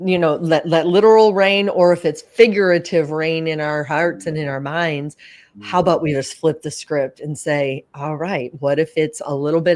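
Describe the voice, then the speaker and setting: The speech moves at a moderate pace. The recording is very clean, with a silent background. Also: woman. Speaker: podcast host. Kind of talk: podcast host talk. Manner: upbeat.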